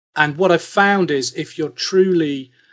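A man with a British accent at a moderate pace, quiet background. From UK. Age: 40s. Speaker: investor and tech executive. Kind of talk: casual interview.

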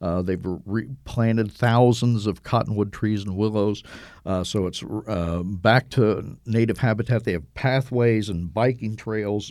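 A man with an American accent speaks in an unremarkable speaking voice at a fairly low pitch and moderate pace, using ordinary pitch variation, on a very clean recording with a silent background. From US Midwest (Cincinnati, Ohio). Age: 60s. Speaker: travel writer. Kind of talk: interview conversation.

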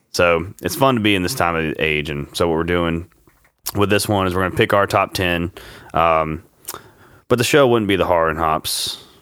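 In a Louisiana accent, a man with a very deep, low voice speaks with long, frequent pauses. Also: ordinary pitch variation, moderate pace. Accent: Southern US (Louisiana). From US Louisiana. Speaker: podcast host. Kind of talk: casual chat. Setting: home studio.

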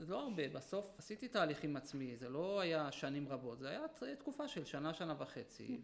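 Over noticeable background noise, a man with a fairly high voice talks at a moderate pace with lively intonation and hardly any pauses. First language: Yiddish (speaking Hebrew). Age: 40s. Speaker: former ultra-Orthodox man turned army veteran. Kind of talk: interview testimony. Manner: halting, with repetitions.

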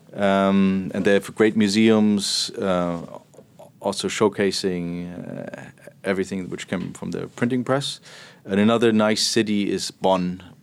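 In a German accent, a man talks at a fairly slow pace. His pitch is fairly low and his intonation fairly even. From Germany, Berlin. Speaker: portfolio manager. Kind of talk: interview.

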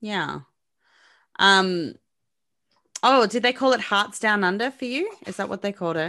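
A bright, sharp-toned speaker with an Australian accent talks at a moderate pace, leaving long, frequent pauses against a quiet background. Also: woman, medium pitch for a woman, ordinary pitch variation. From Melbourne, Australia. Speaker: podcaster. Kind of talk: casual chat.

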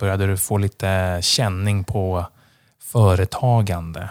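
An ordinary speaking voice at a fairly slow pace, heard in a very clean recording with a silent background. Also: man. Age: 30s. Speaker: podcast host. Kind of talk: podcast interview.

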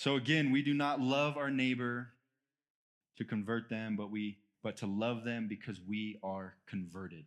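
In an unremarkable speaking voice, a man speaks at a moderate pace with ordinary pitch variation on a very clean recording with a silent background. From United States. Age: 30s. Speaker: guest preacher. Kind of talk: sermon. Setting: church with congregation.

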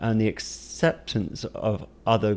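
The recording is very clean, and the background is silent. A man talks throughout. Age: 30s. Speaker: photographer. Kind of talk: casual chat. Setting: home studio.

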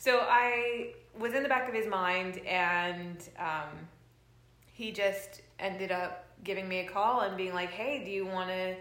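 Audible room echo surrounds a woman speaking at a medium pitch and fairly slow pace, with ordinary pitch variation. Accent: Californian. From Los Angeles, US. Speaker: bass player. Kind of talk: casual chat. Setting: at home.

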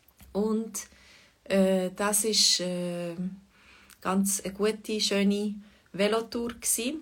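The speech moves at a very slow pace with long, frequent pauses. The intonation stays fairly even. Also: woman, medium pitch for a woman. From Switzerland, Fribourg. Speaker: Swiss German language teacher. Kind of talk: livestream language lesson chat. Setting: online livestream. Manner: hesitant, many fillers.

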